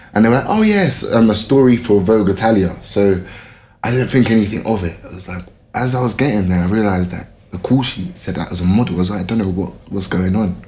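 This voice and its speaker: A man's somewhat breathy, fairly low voice with ordinary pitch variation at a very fast pace, amid audible room echo. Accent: London. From London, England. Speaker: fashion model. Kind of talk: casual interview chat.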